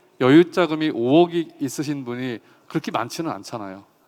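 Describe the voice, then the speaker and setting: A man speaks at a fairly high pitch. His pace is moderate and his intonation lively. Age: 50s. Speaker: farmer and agricultural economist. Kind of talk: talk concert speech.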